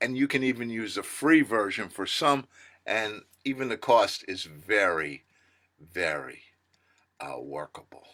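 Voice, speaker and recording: Recorded very cleanly with a silent background, a man of medium pitch speaks at a fairly slow pace in a bright, sharp tone with vocal fry, very wide pitch swings and big swings in loudness. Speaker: business coach. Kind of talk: podcast monologue.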